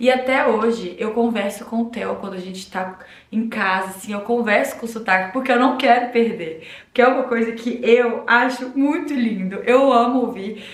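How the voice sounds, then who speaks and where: Amid audible room echo and noticeable background noise, a woman speaks at a moderate pace with a fairly high pitch and ordinary pitch variation. Her tone is animated, with big swings in loudness. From Minas Gerais, Brazil (Uberlândia, then João Pessoa and Belo Horizonte). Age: 20s. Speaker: vlogger. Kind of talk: casual vlog talk to camera.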